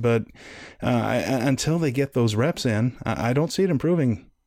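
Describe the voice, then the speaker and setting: A man's plain, everyday voice at medium pitch and moderate pace, on a very clean recording with a silent background. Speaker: wrestling podcast guest host. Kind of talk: casual chat.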